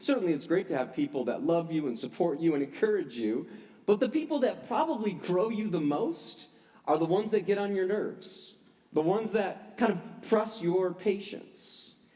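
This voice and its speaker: A high-pitched man's voice with a dark, mellow tone, very wide pitch swings and a moderate pace, amid audible room echo. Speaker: pastor. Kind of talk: sermon. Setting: church service.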